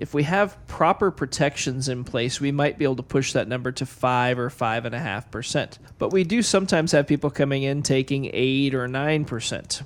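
A man's fairly high voice, a normal speaking voice, at a fairly quick pace with ordinary pitch variation and hardly any pauses. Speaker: financial advisor co-host. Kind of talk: radio talk show.

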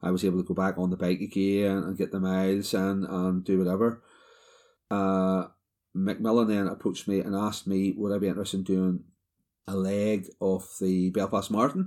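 On a very clean recording with a silent background, a man with a Northern Irish accent speaks at a moderate pace in a very deep, low voice with a dark, mellow tone and monotone, flat intonation. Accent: Northern Irish (Ulster). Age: 40s. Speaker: cancer survivor. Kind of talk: personal testimony.

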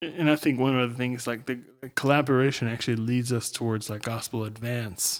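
An unremarkable speaking voice with an American accent moves at a fairly quick pace. The intonation stays fairly even. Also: man, medium pitch for a man. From United States. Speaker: church planter. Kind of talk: casual chat.

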